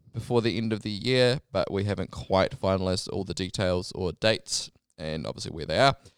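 A man speaks with a New Zealand accent. The sound is dry and close, with no echo. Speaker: podcast host at a wireless company. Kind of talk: casual interview chat. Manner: informal, hesitant with filler words.

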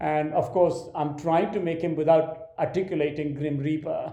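Speaking at a moderate pace with an Indian accent, a man uses a fairly high pitch and monotone, flat intonation. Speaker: film director. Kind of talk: interview conversation.

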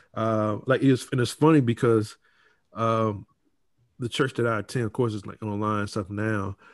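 A man speaks in an unremarkable speaking voice with an American accent, at medium pitch and a moderate pace, his intonation fairly even. The recording is very clean, with a silent background. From Norfolk, Virginia. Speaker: podcast host. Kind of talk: casual chat.

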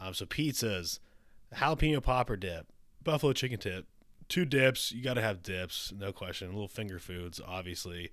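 A man's fairly low voice with lively intonation, in a very clean recording over a silent background. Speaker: podcast host. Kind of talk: casual chat. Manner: rambling, fast.

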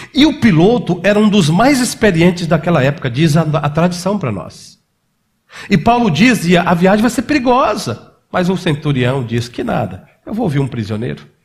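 A man's high-pitched voice with very wide pitch swings at a moderate pace, plus audible room echo. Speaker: pastor. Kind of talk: sermon.

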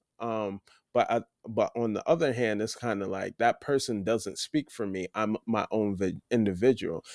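A man with an American accent speaks at a moderate pace and a medium pitch, in an unremarkable speaking voice. The recording is very clean with a silent background, and the sound is dry and close with no echo. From US (Nigerian-born, raised in America from age three). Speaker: photographer. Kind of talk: casual chat.

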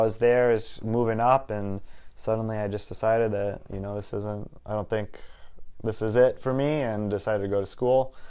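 Using an unremarkable speaking voice, a man of medium pitch talks at a moderate pace with fairly even intonation and big swings in loudness. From Wisconsin, Waukesha. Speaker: real estate agent. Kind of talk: podcast interview.

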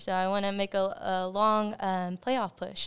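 This woman has an ordinary speaking voice, medium in pitch with fairly even intonation. Her recording is very clean and the background is silent. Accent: American. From Texas, Cleburne. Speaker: high school soccer coach. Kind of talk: interview.

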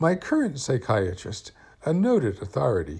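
At a moderate pace, the speaker sounds somewhat breathy, with very wide pitch swings. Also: man. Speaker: podcast host. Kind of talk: scripted narration.

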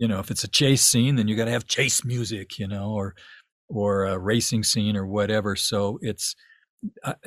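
A man in an ordinary speaking voice talks at a moderate pace and medium pitch, the sound dry and close with no echo. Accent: American. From US Southwest, Tucson, Arizona. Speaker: ambient musician and film composer. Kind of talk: casual interview conversation. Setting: remote interview from his home studio.

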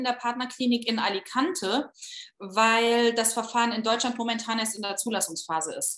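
A woman with a plain, everyday voice, fairly high in pitch, at a fairly slow pace with ordinary pitch variation. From Saarland, Saarbrücken. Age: 30s. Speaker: fertility patient sharing her story. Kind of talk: interview, personal testimony.

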